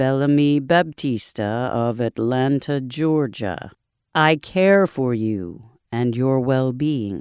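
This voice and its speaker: On a very clean recording with a silent background, a man uses a put-on character voice, resonant and medium in pitch, at a very slow pace. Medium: read story. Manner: calm, measured, formal.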